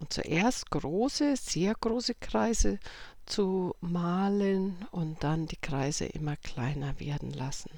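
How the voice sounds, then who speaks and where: A woman speaks at a very slow pace in a calm, soothing tone. Her pitch is fairly low and swings very widely. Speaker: meditation guide. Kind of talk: guided meditation. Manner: slow, calm, soothing.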